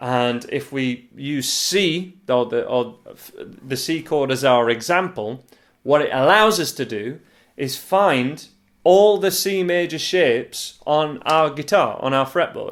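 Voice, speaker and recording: A man with a Yorkshire accent, fairly high in pitch, speaking at a very slow pace on a very clean recording with a silent background. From northern England, Yorkshire. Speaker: guitar teacher. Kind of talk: tutorial. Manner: casual, hesitant with fillers.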